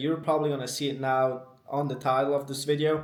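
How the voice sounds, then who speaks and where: Fairly quick speech in a non-native accent, with audible room echo. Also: man. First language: not English. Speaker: dating advice youtuber. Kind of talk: unscripted monologue. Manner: casual, ranting.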